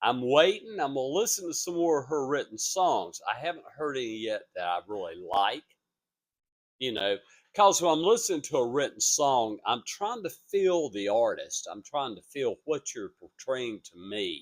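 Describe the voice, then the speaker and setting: Big swings in loudness and very wide pitch swings mark this man's fairly high-pitched voice. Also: moderate pace. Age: 70s. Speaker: vlogger and vocal coach. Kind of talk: casual vlog monologue. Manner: rambling, halting.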